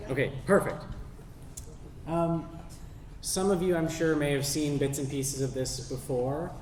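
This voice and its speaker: A man with a Canadian accent, fairly high-pitched, with ordinary pitch variation and long, frequent pauses, over noticeable background noise and audible room echo. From western Canada, North Vancouver. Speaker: sea kayak guide and outdoor educator. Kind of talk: public talk.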